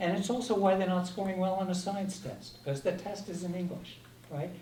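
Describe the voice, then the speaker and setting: A man speaks in a high voice for a male speaker. The room echo is audible and background noise is noticeable. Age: 70s. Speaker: ballot question advocate. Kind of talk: public forum discussion. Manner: conversational.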